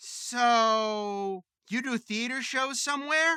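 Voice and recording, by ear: Slowly and in a put-on character voice, a man speaks at an extremely high pitch with ordinary pitch variation, his tone clear, smooth, bright and sharp, in a dry, close sound with no echo.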